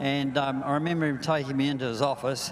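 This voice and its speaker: With a New Zealand accent, a man talks at a moderate pace and medium pitch, his intonation monotone and flat. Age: 80s+. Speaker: veteran racing driver. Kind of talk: live interview.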